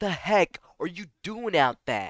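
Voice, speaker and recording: A man puts on a character voice pitched high, hissing as he talks at a fairly slow pace. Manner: hissing, urgent.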